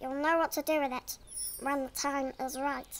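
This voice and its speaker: A female-sounding voice in a put-on character voice speaks at a moderate pace with a high pitch. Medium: short film.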